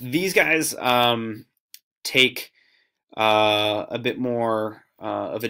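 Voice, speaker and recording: In a very clean recording with a silent background, a man with an American accent speaks at a fairly low pitch. His tone is bright and sharp, and his intonation fairly even. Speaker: student teacher. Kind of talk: video diary for class. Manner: casual, many fillers.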